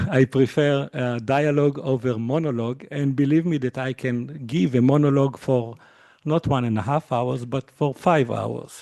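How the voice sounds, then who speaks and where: A man speaks at a moderate pace with fairly even intonation. His tone is dark and mellow, and the sound is dry and close with no echo. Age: 50s. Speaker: university lecturer. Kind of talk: lecture. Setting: lecture hall with audience and Zoom. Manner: hesitant, many fillers.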